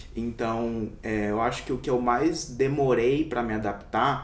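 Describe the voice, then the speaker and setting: Amid audible room echo, a man at a medium pitch speaks at a very slow pace with ordinary pitch variation. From interior of São Paulo state, Brazil. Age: 20s. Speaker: doctor. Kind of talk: interview.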